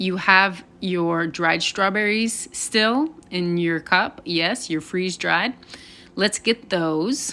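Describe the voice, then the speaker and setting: A woman's bright, sharp tone at a very slow pace, with ordinary pitch variation. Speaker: home cook. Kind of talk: tutorial. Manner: casual.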